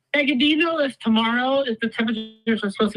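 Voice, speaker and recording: A woman at a very fast pace, her pitch fairly high, with music in the background. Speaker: weather livestream host. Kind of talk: live weather coverage.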